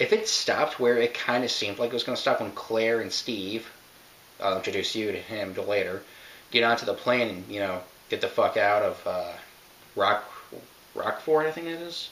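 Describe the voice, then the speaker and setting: A man speaks at a moderate pace, leaving long pauses again and again. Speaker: video game reviewer. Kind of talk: casual commentary. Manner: halting, self-interrupting.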